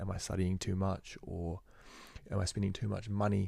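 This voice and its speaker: Somewhat breathy, a man speaks with a dark, mellow tone. His pitch is fairly low and his intonation monotone and flat. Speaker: university student vlogger. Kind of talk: casual monologue. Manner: fast; halting, with repetitions and fillers.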